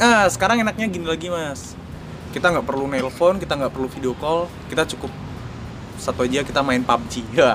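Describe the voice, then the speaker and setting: He speaks fairly quickly, his intonation lively. The man has an ordinary speaking voice, fairly high in pitch. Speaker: journalist. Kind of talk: casual chat.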